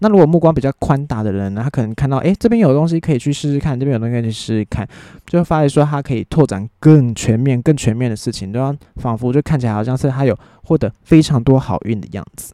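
A man with a Taiwanese accent talks at a very fast pace, medium pitch and ordinary pitch variation, his tone dark and mellow. The background is quiet and the sound dry and close, with no echo. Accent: Taiwanese Mandarin. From Taiwan, New Taipei. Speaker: solo podcast host. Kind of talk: casual monologue.

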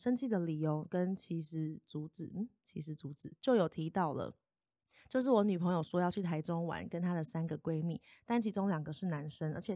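A woman's fairly low, dark and mellow voice with ordinary pitch variation at a fairly quick pace, in a very clean, dry, close recording with no echo and a silent background. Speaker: podcaster and psychology graduate student. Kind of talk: casual chat. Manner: loud when excited.

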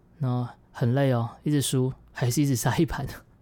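A woman's dark, mellow tone at a moderate pace, in a very clean recording with a silent background. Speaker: podcaster and former YouTuber, day trader. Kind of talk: personal diary monologue.

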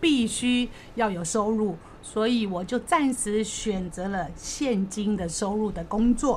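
Fairly slow in pace, a woman speaks in a plain, everyday voice at a medium pitch with ordinary pitch variation. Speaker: debtor sharing her story. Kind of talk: testimony.

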